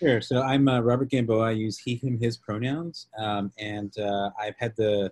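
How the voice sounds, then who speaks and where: A man with an ordinary speaking voice talks at a moderate pace with a fairly low pitch and fairly even intonation, the sound dry with no echo and the background quiet. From Texas, Lubbock. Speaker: policy advocate. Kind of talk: webinar presentation. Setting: video call. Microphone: video call.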